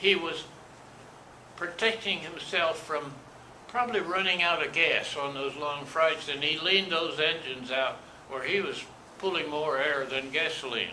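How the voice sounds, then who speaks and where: A man speaks with a fairly high pitch and ordinary pitch variation. The pace is moderate, with noticeable background noise. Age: 80s+. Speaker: war veteran. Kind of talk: interview answer.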